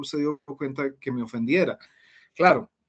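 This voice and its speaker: A man speaks at a fairly slow pace in a fairly high pitch. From Colombia. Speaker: Spanish teacher. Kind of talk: interview conversation. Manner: hesitant fillers.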